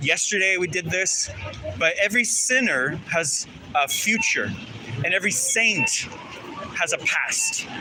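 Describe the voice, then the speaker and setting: A man speaks over noticeable background noise. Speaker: street activist. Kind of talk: casual chat. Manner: loud.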